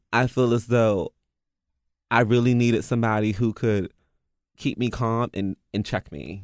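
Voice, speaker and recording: A man with an American accent speaks at a medium pitch and a moderate pace with fairly even intonation and long, frequent pauses, on a very clean recording with a silent background and a dry, close sound with no echo. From US, DC area (DMV). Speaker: dance artist and curator. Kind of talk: casual chat.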